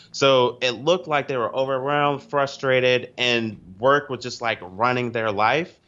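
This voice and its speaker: A man in a normal speaking voice at medium pitch and a moderate pace, with hardly any pauses. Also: ordinary pitch variation. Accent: American. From US East Coast. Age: 20s. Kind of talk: podcast interview.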